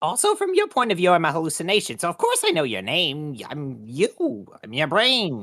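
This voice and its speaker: Someone performs a put-on character voice at a middle pitch. There are hardly any pauses. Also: moderate pace. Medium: actual play. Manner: chatty, hesitant, playful.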